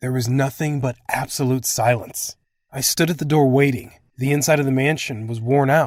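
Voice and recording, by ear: Over a quiet background, someone is reading aloud in a natural voice with fairly even intonation.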